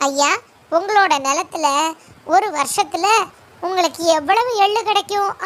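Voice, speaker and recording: A woman speaks in a put-on character voice, pitched extremely high and at a fairly slow pace. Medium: read story. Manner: polite, calm.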